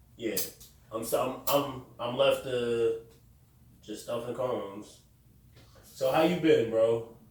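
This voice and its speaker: At a very slow pace, a man speaks at medium pitch with fairly even intonation and long, frequent pauses, in audible room echo. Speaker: podcast host. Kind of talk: casual chat. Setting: room with echo.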